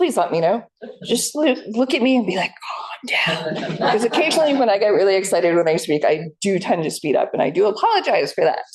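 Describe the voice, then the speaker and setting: Speaking in an American accent at a fairly quick pace, the voice has very wide pitch swings. Noticeable background noise can be heard. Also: woman. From US Northeast, New Jersey. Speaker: historical society staff, former tour guide. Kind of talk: public history presentation.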